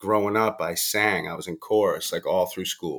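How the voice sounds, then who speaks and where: A man with an American accent and a normal speaking voice talks at a moderate pace in a fairly low pitch, on a very clean recording with a silent background. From US, Boston, Massachusetts. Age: 30s. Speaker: recovering addict and rapper. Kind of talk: interview, personal testimony.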